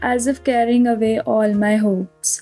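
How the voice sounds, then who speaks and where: Fairly high-pitched woman's voice, fairly slow and fairly even in intonation, with music in the background. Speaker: voiceover artist. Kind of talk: poetry reading.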